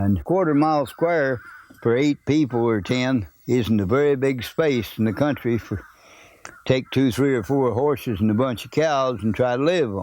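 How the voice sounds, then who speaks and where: Speaking at a moderate pace in an Ozark accent, a man keeps a medium pitch with ordinary pitch variation. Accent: rural Ozark. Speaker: oral history narrator. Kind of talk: oral history interview. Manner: plain, folksy recollection.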